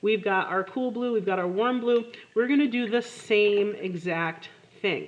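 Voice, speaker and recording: Over noticeable background noise, a woman talks at a fairly slow pace, her fairly high voice showing ordinary pitch variation. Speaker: art teacher. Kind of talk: tutorial. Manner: casual.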